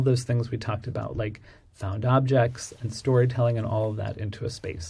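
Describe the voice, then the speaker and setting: A man with an American accent speaks at medium pitch in a monotone, flat delivery, somewhat breathy and with a dark, mellow tone. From Pittsburgh, US Midwest. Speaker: interior designer, design firm owner. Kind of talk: casual interview.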